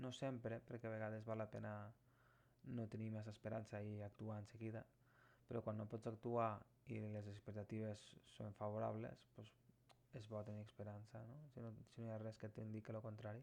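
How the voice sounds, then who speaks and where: The man's voice is fairly low and his pace moderate. He speaks with monotone, flat intonation. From Terres de l'Ebre, Catalonia. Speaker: tarot reader. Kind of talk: tarot reading talk to camera.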